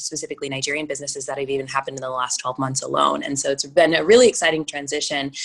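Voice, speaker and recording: Speech from a woman with an American accent, noticeable background noise behind it. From Minnesota, US. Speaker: venture capitalist. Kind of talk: interview conversation.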